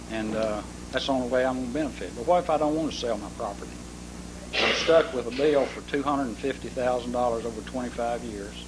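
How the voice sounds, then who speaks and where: With an Arkansas accent, a man talks at a very fast pace amid noticeable background noise and audible room echo. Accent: Southern US (Arkansas). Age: 70s. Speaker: property owner speaking at council meeting. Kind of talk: public comment at city council. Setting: city council meeting.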